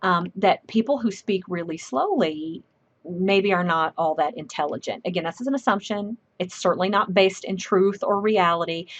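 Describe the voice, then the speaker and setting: In a Southern US accent, a woman talks at a medium pitch with ordinary pitch variation. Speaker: professor. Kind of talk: lecture. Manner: fast.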